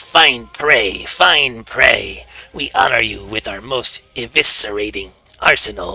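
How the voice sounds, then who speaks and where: Over faint music in the background, a man puts on a raspy character voice at medium pitch and a fairly slow pace. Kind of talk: archaic, grandiose. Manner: menacing, pompous.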